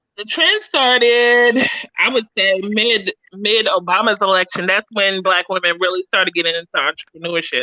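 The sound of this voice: With a bright, sharp tone at medium pitch, a woman speaks at a moderate pace with ordinary pitch variation in a dry, close sound with no echo.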